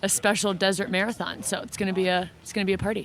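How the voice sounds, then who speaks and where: A woman with an ordinary speaking voice talks at a fairly quick pace. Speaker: podcast host on a running team. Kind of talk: on-location field recording. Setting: outdoors in the desert.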